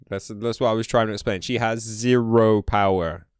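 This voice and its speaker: A man with a British accent speaks in an animated tone at a fairly slow pace, his fairly low voice showing ordinary pitch variation in a very clean recording with a silent background. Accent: UK. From UK. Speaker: gaming streamer. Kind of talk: live stream chat. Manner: casual, animated.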